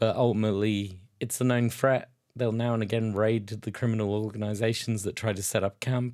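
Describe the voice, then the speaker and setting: Speaking at a fairly quick pace with a British accent, a man keeps a medium pitch and monotone, flat intonation on a very clean recording with a silent background. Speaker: tabletop wargaming youtuber. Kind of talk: casual tutorial while sketching.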